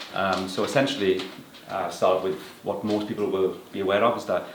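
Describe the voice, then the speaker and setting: A Welsh accent at a moderate pace, with audible room echo and noticeable background noise. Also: man. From Wales. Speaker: property appraiser. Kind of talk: interview. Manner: hesitant with many fillers.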